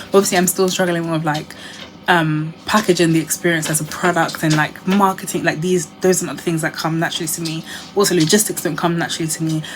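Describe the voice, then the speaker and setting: A woman's fairly low, monotone, flat voice at a very fast pace, over noticeable background noise. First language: not English. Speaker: lifestyle vlogger. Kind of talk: casual chat. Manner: rambling conversational.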